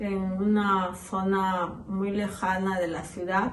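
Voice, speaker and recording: A woman with a medium pitch speaks in a monotone, flat intonation, with audible room echo. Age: 60s. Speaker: interviewee, witness of terrorism era. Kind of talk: testimony.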